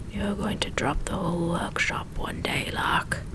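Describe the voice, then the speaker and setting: A whispered, put-on character voice at a moderate pace amid loud background noise. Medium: read story.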